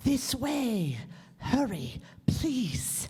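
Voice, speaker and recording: A woman uses a put-on character voice. Her pitch sits high. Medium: stage play. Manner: clipped, formal.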